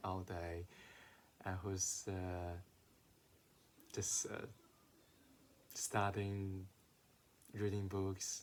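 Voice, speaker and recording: With a non-native accent, a man speaks in a flat monotone at a very deep, low pitch and a very slow pace, with long, frequent pauses. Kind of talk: casual talk to camera.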